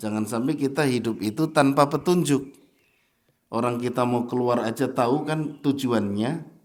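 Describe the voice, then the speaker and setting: A man speaks with a strong Javanese accent. Audible room echo can be heard. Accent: Javanese accent, thick (medok). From Java, Indonesia. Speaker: Islamic preacher. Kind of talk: sermon. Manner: animated.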